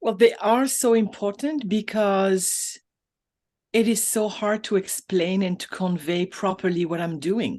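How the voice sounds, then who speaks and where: The speaker has a French accent and a fairly slow pace. Pitch varies in an ordinary way, and the background is quiet. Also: woman, medium pitch for a woman. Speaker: business coach. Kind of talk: interview. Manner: halting.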